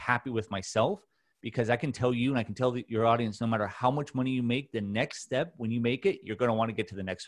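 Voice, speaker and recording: A man with a Californian accent talks at a medium pitch against a quiet background. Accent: Californian American. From Southern California, Orange County. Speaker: mental health advocate and podcast host. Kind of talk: casual interview chat.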